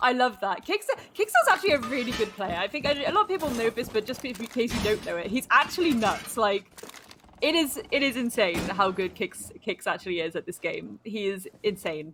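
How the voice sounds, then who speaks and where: Noticeable background noise sits behind a woman with a British accent and a fairly high voice. She talks at a fairly quick pace, her pitch swinging very widely. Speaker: esports caster. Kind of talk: live commentary.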